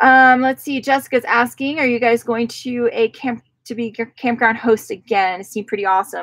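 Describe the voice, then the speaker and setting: The intonation is fairly even, and the sound is dry and close with no echo. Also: woman, high pitch for a woman. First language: Spanish. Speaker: travel vlogger. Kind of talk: live stream Q&A. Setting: outdoors on a mountain. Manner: casual, with many filler ums.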